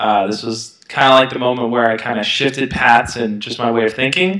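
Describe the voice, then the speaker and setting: Against a quiet background with audible room echo, a man in a New York accent speaks at a moderate pace. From Brooklyn, New York. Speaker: self-help youtuber. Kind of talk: interview. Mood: relaxed, reflective. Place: home room. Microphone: headset.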